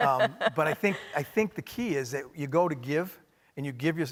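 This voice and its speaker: This man speaks with a Maine accent. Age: middle-aged. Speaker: hospitality company executive. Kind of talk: onstage interview.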